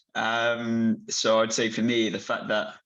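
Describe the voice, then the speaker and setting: A man speaks at a medium pitch with a British accent. The background is quiet. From UK. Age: 20s. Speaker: patient advocate with Duchenne. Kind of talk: panel discussion. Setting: video call.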